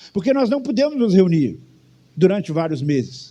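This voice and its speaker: A man talks at a fairly quick pace in a dark, mellow tone, his pitch swinging very widely. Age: 60s. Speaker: pastor. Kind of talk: sermon. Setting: church.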